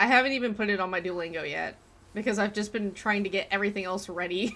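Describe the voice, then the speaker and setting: Her tone is bright and sharp, at a medium pitch with ordinary pitch variation. The woman speaks at a very fast pace. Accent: American. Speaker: gaming live streamer. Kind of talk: casual live stream chat while gaming. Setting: live stream.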